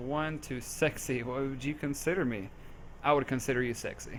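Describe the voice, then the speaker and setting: With an American accent, a man talks at a fairly high pitch with fairly even intonation. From US South, Memphis, Tennessee. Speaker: gaming community staff member. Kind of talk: casual Q&A chat.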